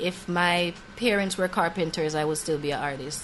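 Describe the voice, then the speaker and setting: Noticeable background noise runs under speech delivered fairly quickly. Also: woman. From Jamaica, Ocho Rios. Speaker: singer-songwriter. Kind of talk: interview. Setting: studio.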